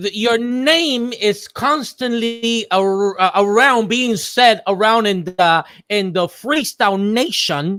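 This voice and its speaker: A man speaks with hardly any pauses, his pitch high and his pitch variation ordinary. His tone is bright and sharp. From Cuba. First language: Spanish. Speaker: online talk show host. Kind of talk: interview. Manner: fast; halting.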